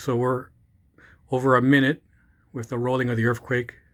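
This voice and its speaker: A man's medium-pitched voice at a fairly quick pace, monotone and flat in intonation, on a very clean recording with a silent background. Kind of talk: casual commentary to camera. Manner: hesitant, choppy.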